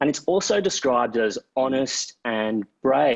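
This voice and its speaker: Man with an Australian accent, dry, close sound with no echo. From Queensland, Australia. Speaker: author and broadcaster, panel moderator. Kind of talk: panel moderation.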